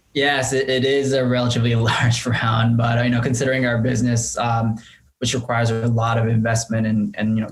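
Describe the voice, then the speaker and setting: A man talks fairly quickly at a medium pitch, his loudness very even and his intonation monotone and flat. Noticeable background noise sits behind him. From Japan (Tokyo). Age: 30s. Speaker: entrepreneur. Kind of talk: interview. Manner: halting.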